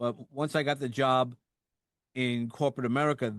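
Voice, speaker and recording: Fairly quick speech from a man in a New York accent. He has a medium pitch and ordinary pitch variation. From New York, Brooklyn (Sheepshead Bay). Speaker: podcast host. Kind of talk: casual interview chat.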